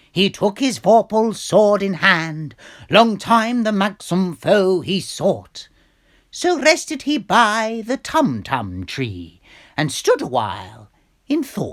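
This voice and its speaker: This is a put-on character voice with very wide pitch swings. The pace is fairly slow. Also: man, high pitch for a man. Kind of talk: poetry reading.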